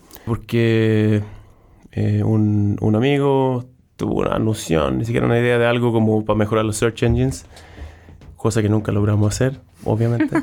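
With a dark, mellow tone and a fairly low pitch, a man speaks at a moderate pace with ordinary pitch variation, very even loudness and long, frequent pauses. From southern Sweden. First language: Swedish (speaking Spanish). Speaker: startup founder and CEO. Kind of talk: interview. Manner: halting.

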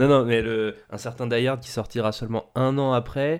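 In a normal speaking voice, the speaker talks at a moderate pace with ordinary pitch variation against a quiet background. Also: man. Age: 20s. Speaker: film podcast host. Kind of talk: casual chat.

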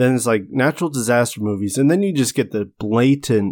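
A man with an American accent speaks at a moderate pace and medium pitch, with lively intonation, in a plain, everyday voice. The recording is very clean, with a silent background and a dry, close sound with no echo. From US, farming community. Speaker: podcast co-host, forester. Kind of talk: casual chat.

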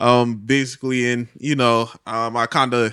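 A man with a Philadelphia accent speaks at a medium pitch in a flat, monotone way against a quiet background. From Philadelphia, West Philly. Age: 20s. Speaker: drummer. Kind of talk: casual chat.

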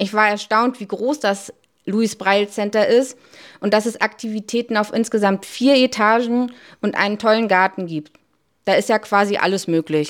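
A woman uses a normal speaking voice, fairly high in pitch with fairly even intonation at a moderate pace, on a very clean recording with a silent background. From Hamburg, Barmbek. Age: 40s. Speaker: volunteer, civil servant. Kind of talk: interview.

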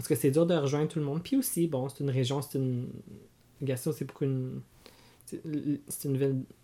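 With a fairly high pitch and a dark, mellow tone, a man speaks somewhat breathily at a fairly quick pace, his intonation monotone and flat, broken by long, frequent pauses. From Franco-Ontarian, Cornwall, Ontario. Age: 30s. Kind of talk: casual interview chat.

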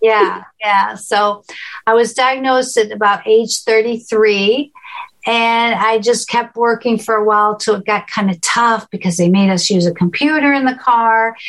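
Her voice is a plain, everyday voice, fairly high in pitch for a woman, with fairly even intonation. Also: fairly slow pace. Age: 60s. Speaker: cooking show host, visually impaired. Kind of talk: presentation Q&A on cooking.

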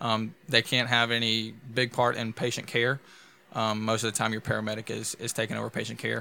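Speaking in a Louisiana accent, a man has a medium pitch and a bright, sharp tone. His delivery is fairly quick and monotone, with flat intonation. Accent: Louisiana Southern US. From DeRidder, Louisiana. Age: 20s. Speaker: EMT and podcast co-host. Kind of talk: casual chat.

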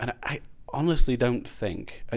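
A man with a Glasgow accent speaks with fairly even intonation on a very clean recording with a silent background. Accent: Scottish (Glasgow). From Scotland, Glasgow. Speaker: artist. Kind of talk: casual chat. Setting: studio podcast, holding his own microphone.

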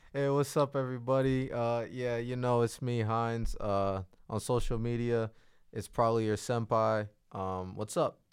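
Medium-pitched male voice, a normal speaking voice, delivered at a moderate pace and with fairly even intonation. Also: very clean recording, silent background. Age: 20s. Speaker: podcast guest. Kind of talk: casual chat.

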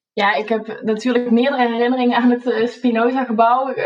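Speaking at a moderate pace, a woman uses a high pitch with fairly even intonation. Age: 20s. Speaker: PhD candidate and university lecturer. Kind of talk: personal reminiscence.

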